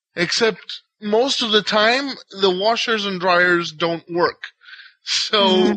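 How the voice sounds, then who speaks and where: In a raised, projected voice with a bright, sharp tone and an Israeli accent, the speaker talks at a very slow pace. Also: man, high pitch for a man, ordinary pitch variation. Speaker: podcast panelist. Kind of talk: casual chat. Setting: online voice call.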